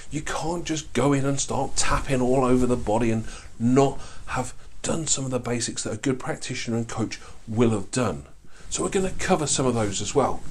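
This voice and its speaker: A man talks at a fairly quick pace with medium pitch and ordinary pitch variation, with audible room echo. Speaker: life coaching trainer, course instructor. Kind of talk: online course lecture. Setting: filmed with board, to camera. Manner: fast; animated.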